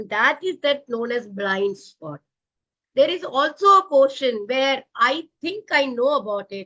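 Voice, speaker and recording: A woman speaks in a raised, projected voice with a bright, sharp tone, high pitch for a woman, very wide pitch swings, big swings in loudness and a fairly slow pace. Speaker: professional coach and author. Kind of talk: interview. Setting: live online video show. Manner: animated.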